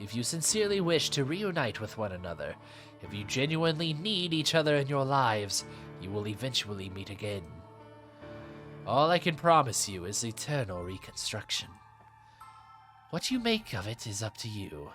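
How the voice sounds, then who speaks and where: Delivered in a put-on character voice with long, frequent pauses, the speech runs over clear music in the background. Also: man, medium pitch for a man, moderate pace. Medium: read story. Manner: smooth, insinuating, coaxing.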